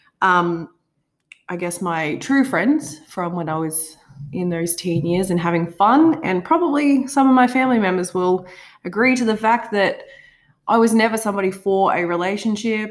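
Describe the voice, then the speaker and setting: With lively intonation and a medium pitch, a woman in a normal speaking voice talks at a moderate pace. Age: 20s. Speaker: podcast co-host. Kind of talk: casual chat.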